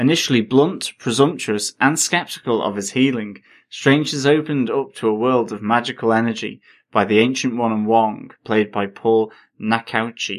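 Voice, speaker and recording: A man's medium-pitched voice at a moderate pace, with ordinary pitch variation. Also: very clean recording, silent background. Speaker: podcast co-host. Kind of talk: casual chat. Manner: rambling, hesitant with many fillers.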